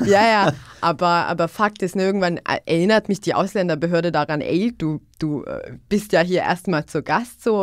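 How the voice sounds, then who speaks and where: A woman with a fairly low pitch talks at a moderate pace with ordinary pitch variation, in a very clean recording with a silent background. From Bosnia, northwest (Una-Sana region). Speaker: youth worker. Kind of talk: podcast conversation. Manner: repetitive, halting with fillers.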